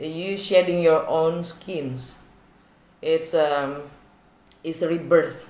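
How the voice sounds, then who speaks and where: Speech comes very slowly. It carries a non-native accent. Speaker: tarot reader. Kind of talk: tarot reading. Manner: drawn-out words, hesitant fillers.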